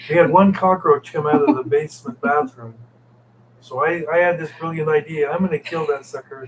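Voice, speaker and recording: Noticeable background noise runs under this recording. A man with a fairly high-pitched voice speaks at a fairly quick pace. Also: ordinary pitch variation. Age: 70s. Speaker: expat co-host. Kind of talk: casual live stream chat. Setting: live stream with partner.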